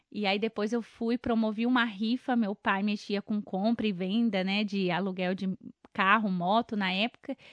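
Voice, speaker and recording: Fairly even in intonation, a woman's fairly high-pitched voice comes across as a normal speaking voice. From Brazil, Mato Grosso do Sul (Coxim). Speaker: event planner and journalist. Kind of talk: interview.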